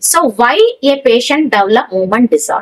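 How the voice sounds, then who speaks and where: Over a quiet background, a woman talks at a fairly quick pace. Her voice is high and swings very widely in pitch. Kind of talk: lecture. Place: studio.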